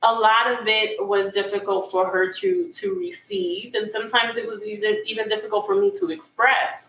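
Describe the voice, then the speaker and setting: With a Spanish accent, a woman speaks at a moderate pace with a fairly high pitch and lively intonation. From Dominican Republic. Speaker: author and community advocate. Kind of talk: interview. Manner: halting, many repeated words.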